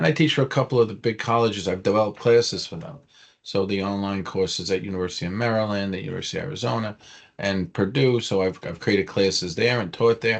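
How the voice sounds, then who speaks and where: A man with a New York accent and a fairly low pitch speaks at a very fast pace with ordinary pitch variation over a quiet background. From New York City, Staten Island. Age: 60s. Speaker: professor. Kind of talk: online class introduction. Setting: video call. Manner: halting.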